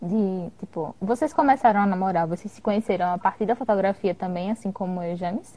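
Her tone dark and mellow and somewhat breathy, a woman talks at a fairly quick pace and medium pitch with hardly any pauses, ordinary pitch variation and big swings in loudness. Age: 20s. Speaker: guest, dentistry student and partner of host. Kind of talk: casual live chat. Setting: live video stream. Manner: nervous at first, joking.

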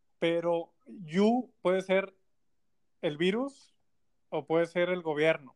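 Speaking at a very slow pace with long, frequent pauses, a man with a Mexican accent uses a high pitch and ordinary pitch variation. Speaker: video producer. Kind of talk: casual chat.

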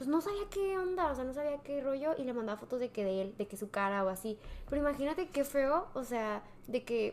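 A woman talks in a high pitch at a fairly quick pace, with very wide pitch swings. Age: young. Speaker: podcast guest. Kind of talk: casual chat.

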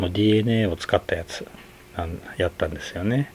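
At a moderate pace, a man uses a normal speaking voice with medium pitch. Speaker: podcast host, film reviewer. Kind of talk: solo monologue film review. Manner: relaxed, frequent fillers and laughs.

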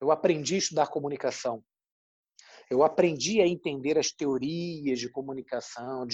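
Against a quiet background, a man with a fairly high voice and a dark, mellow tone talks at a moderate pace with ordinary pitch variation. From Brazil, Rio de Janeiro. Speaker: journalist. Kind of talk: interview. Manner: halting, many fillers.

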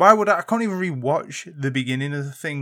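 A man with a British accent speaks at a fairly high pitch with lively intonation and a fairly quick pace. The recording is very clean, with a silent background. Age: 20s. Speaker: podcast co-host. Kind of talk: casual chat.

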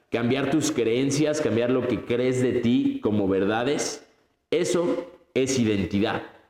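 At a very slow pace, the voice keeps a very even loudness and ordinary pitch variation, with audible room echo around it. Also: man, medium pitch for a man. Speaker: podcast host. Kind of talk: motivational monologue. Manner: animated.

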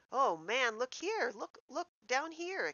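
Speaking in a put-on character voice, a female-sounding speaker pitches high and swings very widely in pitch. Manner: exclaiming.

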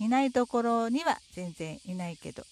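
With lively intonation and a fairly high pitch, a woman speaks at a moderate pace. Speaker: podcaster living with stage 4 cancer. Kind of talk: casual solo talk while walking. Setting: outdoors on a riverside path.

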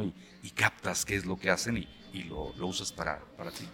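A very deep, low male voice with vocal fry. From Aguascalientes, Mexico. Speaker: voice actor and announcing teacher. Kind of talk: casual interview chat. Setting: café.

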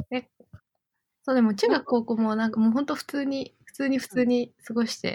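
Loudness swings widely in this dark, mellow voice, which keeps fairly even intonation at a fairly quick pace. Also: woman, high pitch for a woman. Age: 20s. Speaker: iOS engineer. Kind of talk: casual chat.

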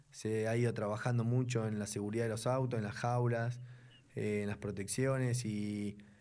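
A man speaks in a dark, mellow tone at medium pitch, flat and monotone, at a moderate pace with audible room echo. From Buenos Aires, Argentina. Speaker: racing driver. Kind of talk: casual interview.

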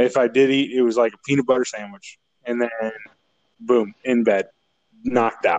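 Heard in a dry, close sound with no echo, a man with a northern Illinois accent speaks at a moderate pace and medium pitch in a flat, monotone intonation. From northern Illinois, south of Chicago. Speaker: guest sharing his mental health story. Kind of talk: casual chat.

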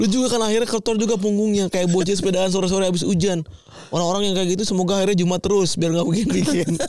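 With noticeable background noise, a man with a high pitch talks at a very fast pace, his loudness very even and his intonation fairly even. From Tambun, Bekasi (West Java, near Jakarta). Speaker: podcast co-host. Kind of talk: casual chat.

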